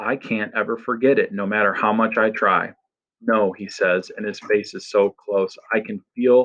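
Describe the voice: The background stays quiet. Someone reads aloud plainly.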